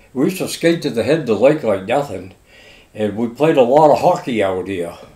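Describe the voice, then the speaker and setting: Pitch swings very widely as a man talks at medium pitch and a fairly quick pace. He speaks with a Maine accent. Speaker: longtime local resident. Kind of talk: oral history interview. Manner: casual.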